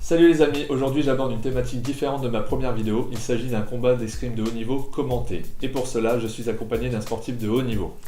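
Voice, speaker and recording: Through audible room echo, a man rushes at a very fast pace with hardly any pauses, his dark, mellow tone carrying vocal fry and fairly even intonation. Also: medium pitch for a man. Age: 30s. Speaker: fencer and fencing coach. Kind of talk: video introduction.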